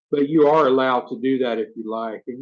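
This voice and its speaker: Speaking at a fairly quick pace, a man with a strong Southern US accent keeps his intonation fairly even. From US South, rural north Florida. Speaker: YouTuber, expat vlogger. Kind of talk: live stream Q&A. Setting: live stream. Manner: casual, conversational.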